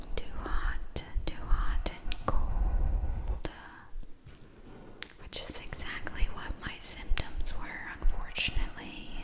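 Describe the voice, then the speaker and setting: Whispering at a very slow pace with long, frequent pauses, a woman's voice swings widely in loudness over noticeable background noise. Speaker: ASMR creator. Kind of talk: ASMR soft-spoken rambling. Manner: casual chatty storytelling.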